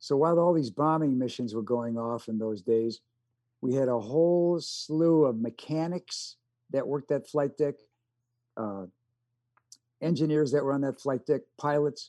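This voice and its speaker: Over a quiet background, a man with a dark, mellow tone speaks at a moderate pace with long, frequent pauses and ordinary pitch variation. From US Midwest. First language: American Sign Language. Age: 70s. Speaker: actor and war veteran. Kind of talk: casual interview. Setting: video call.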